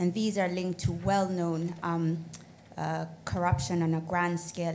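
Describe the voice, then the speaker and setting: A woman's somewhat breathy, fairly low voice in a monotone, flat intonation, with audible room echo. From Kenya. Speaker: audience member, lawyer. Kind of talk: audience comment. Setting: conference with audience.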